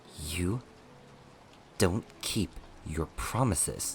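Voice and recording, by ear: Very slowly, a man performs a put-on character voice at a low pitch with lively intonation.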